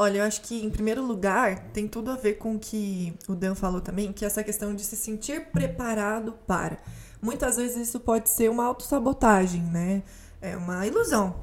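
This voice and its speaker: A woman with a fairly high, ordinarily varied pitch talks at a moderate pace, and noticeable background noise can be heard. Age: 20s. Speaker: actress, journalist and communication mentor. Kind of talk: casual interview chat.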